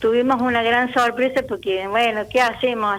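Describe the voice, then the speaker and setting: A woman with a fairly high pitch talks at a moderate pace in monotone, flat intonation. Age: 70s. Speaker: retired teacher and author. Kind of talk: radio interview. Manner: halting.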